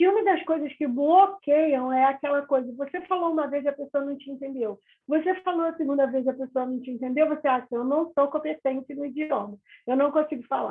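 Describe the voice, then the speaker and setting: Fairly quick pace with ordinary pitch variation. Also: woman, high pitch for a woman. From Rio de Janeiro, Brazil. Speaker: English teacher. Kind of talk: interview. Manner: calm, moderate pace.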